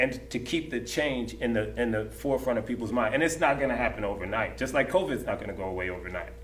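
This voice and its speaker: At a very fast pace with hardly any pauses, a man of medium pitch speaks in an animated tone with lively intonation amid audible room echo and noticeable background noise. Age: 50s. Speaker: dancer. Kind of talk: panel discussion. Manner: repetitive, stammering restarts.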